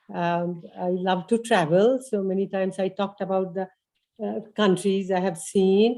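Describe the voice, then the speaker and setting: In an Indian accent, a woman talks at a fairly slow pace. Her tone is dark and mellow, with ordinary pitch variation. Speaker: adult education instructor. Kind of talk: class presentation at open house. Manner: hesitant, many fillers.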